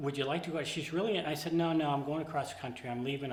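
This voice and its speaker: Audible room echo carries a man's voice. Noticeable background noise runs underneath. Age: 70s. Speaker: interviewee in documentary, long-married husband. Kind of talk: interview.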